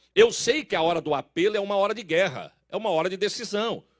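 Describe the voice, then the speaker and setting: Recorded dry and close with no echo, a man with a high-pitched voice speaks fairly quickly in an animated tone with lively intonation. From Brazil, São Paulo. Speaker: pastor. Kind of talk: sermon.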